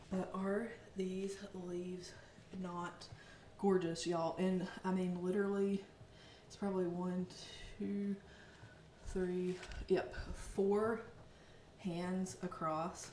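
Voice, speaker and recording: A woman with a Southern US accent speaks at medium pitch and a very slow pace. Long, frequent pauses come through over noticeable background noise. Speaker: plant vlogger, Pinterest marketer. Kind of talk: casual talk to camera. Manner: upbeat, chatty.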